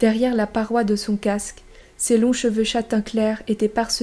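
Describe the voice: The recording features plain reading aloud.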